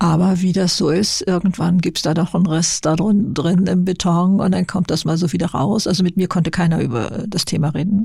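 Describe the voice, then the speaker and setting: A woman speaks in a fairly low, somewhat breathy voice. Her tone is dark and mellow. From Lower Saxony, northern Germany. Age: 70s. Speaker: YouTuber and author. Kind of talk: interview. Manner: halting.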